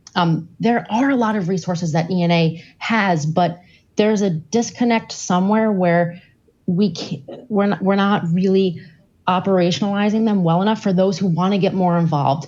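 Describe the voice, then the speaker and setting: With very even loudness, a woman talks at a moderate pace with a medium pitch and ordinary pitch variation. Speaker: nurse delegate. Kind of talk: formal debate.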